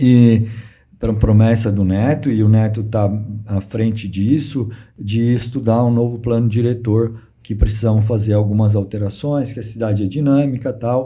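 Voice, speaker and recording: The man's voice is dark, mellow and somewhat breathy. He talks at a medium pitch and a moderate pace. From Brazil, São Carlos (São Paulo state). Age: 60s. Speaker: real estate businessman. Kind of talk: interview. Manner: halting, repeats words.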